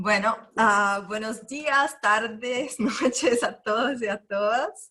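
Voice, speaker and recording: A woman with a Brazilian accent, fairly high in pitch, with ordinary pitch variation. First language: Portuguese (speaking Spanish). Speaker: NGO founder. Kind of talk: panel presentation.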